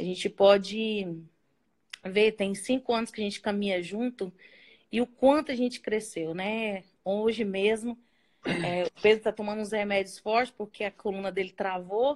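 A normal speaking voice with fairly even intonation at a moderate pace. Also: woman, medium pitch for a woman. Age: 40s. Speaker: ministry co-worker. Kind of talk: casual chat.

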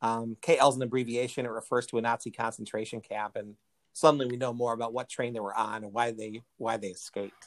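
A man with an American accent talks at a fairly quick pace and medium pitch in a flat monotone. The sound is dry and close, with no echo. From United States. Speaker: podcast host. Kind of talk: casual chat.

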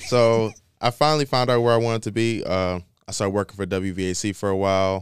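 Talking at a very fast pace with ordinary pitch variation, a man with a fairly low voice and an American accent is heard on a very clean recording with a silent background. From Michigan, US. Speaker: college student intern. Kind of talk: casual interview.

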